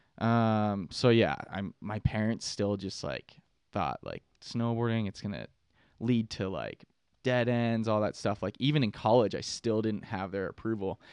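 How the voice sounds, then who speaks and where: Here is a normal speaking voice at a fairly slow pace with ordinary pitch variation. The sound is dry and close with no echo, over a quiet background. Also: man, fairly low pitch for a man. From Pittsburgh, Pennsylvania. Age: 20s. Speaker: content creator and snowboarder. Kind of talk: casual podcast interview. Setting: studio.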